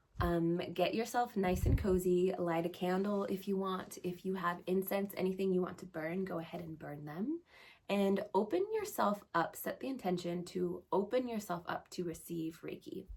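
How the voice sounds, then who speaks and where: A woman at medium pitch with an ordinary speaking voice, a moderate pace, fairly even intonation and hardly any pauses. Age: 30s. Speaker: astrologer and Reiki practitioner. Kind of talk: astrology talk and guided meditation intro. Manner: casual, conversational.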